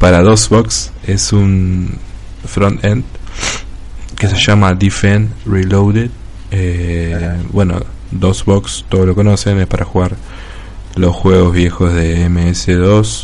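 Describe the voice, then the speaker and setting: A man with a very deep, low pitch speaks very slowly, leaving long, frequent pauses, yet his intonation is lively. Audible room echo and noticeable background noise fill the recording. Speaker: podcast host. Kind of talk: casual chat; reading a game review aloud.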